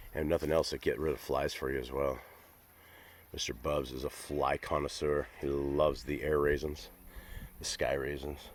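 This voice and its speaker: A man with a very deep, low pitch and vocal fry speaks in a monotone, flat way at a moderate pace, leaving long, frequent pauses. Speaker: dog-owner vlogger. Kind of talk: casual vlog chat. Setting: outdoors. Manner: casual, hesitant fillers.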